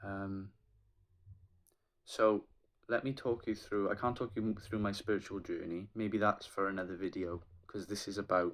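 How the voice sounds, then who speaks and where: With a Welsh accent, a man speaks at a moderate pace in a monotone, flat intonation. His pitch is fairly low. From Wales. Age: 20s. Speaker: aspiring triathlete and PhD student. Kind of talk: casual vlog talk to camera.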